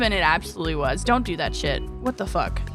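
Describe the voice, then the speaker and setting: With music in the background, a woman speaks in an animated tone at a fairly quick pace. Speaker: VTuber streamer. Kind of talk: casual livestream story reading with chat. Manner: chaotic, animated.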